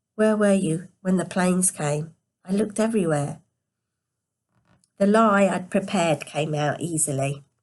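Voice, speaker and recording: Moderate pace and ordinary pitch variation against a quiet background. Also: woman. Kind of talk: read story.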